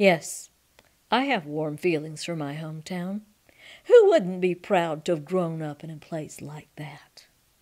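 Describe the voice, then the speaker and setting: A woman speaks in a plain, everyday voice, fairly low in pitch, at a fairly slow pace. Her pitch varies an ordinary amount while her loudness swings widely. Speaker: reader. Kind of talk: memoir reading.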